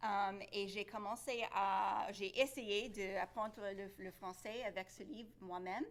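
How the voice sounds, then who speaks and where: A woman at a medium pitch, very slow pace, ordinary pitch variation. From Louisiana (Lafayette), moved to Florida at ten. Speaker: Cajun French learner and baker. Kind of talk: interview. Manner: halting, many hesitations.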